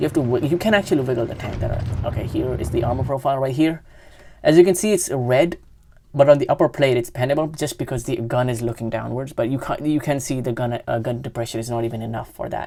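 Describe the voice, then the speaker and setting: A woman speaks very fast in a very deep, low pitch with a dark, mellow tone, ordinary pitch variation, and a non-native accent. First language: not English. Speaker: gaming youtuber. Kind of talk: gameplay commentary. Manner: halting, many self-corrections.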